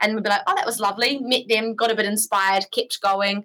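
Here is a woman with a New Zealand accent. Her tone is bright and sharp, and she speaks at a very fast pace. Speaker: bike traveller. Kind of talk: casual chat.

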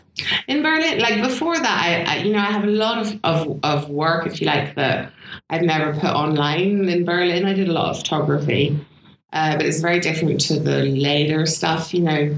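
A woman with a fairly low-pitched voice speaks at a moderate pace, her pitch varying in an ordinary way. Her loudness stays very even, while background noise is noticeable. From south of France (raised there by British parents). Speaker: photographer and filmmaker. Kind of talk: casual interview chat.

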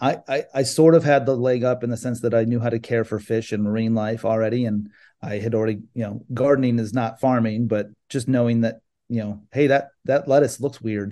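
Against a quiet background, a man with an American accent and a dark, mellow tone speaks fairly quickly at medium pitch with fairly even intonation. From California. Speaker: aquaponic farmer. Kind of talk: interview. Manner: halting.

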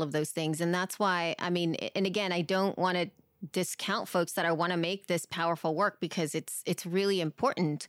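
A woman speaks fairly quickly with a fairly low pitch. Her loudness stays very even, with a dry, close sound with no echo. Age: 40s. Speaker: podcaster. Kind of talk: casual chat. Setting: video call. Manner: animated.

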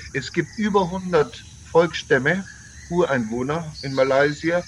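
A man's fairly high voice moves with lively intonation against noticeable background noise. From Bavaria, Germany (Landsberg am Lech). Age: 60s. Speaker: tour operator. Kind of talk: interview.

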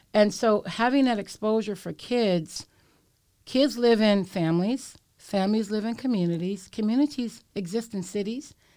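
At a moderate pace, a woman speaks with a fairly high pitch, lively intonation and a dark, mellow tone, in a very clean recording with a silent background. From San Francisco, Bayview Hunters Point. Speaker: nonprofit leader. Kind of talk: interview. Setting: studio.

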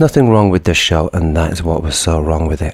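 A man with a very deep, low voice sounds somewhat breathy, his intonation fairly even. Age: 30s. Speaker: musician. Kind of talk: anecdote.

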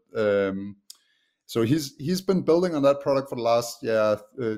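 At a moderate pace, a man speaks with a Danish accent. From Denmark. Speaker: software company co-founder. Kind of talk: podcast interview. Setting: video call.

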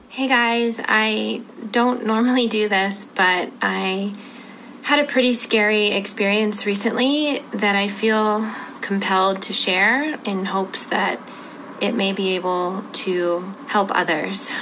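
Noticeable background noise sits behind a woman at medium pitch. She talks at a very slow pace with ordinary pitch variation. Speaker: scam victim, photographer. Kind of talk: social media post and interview.

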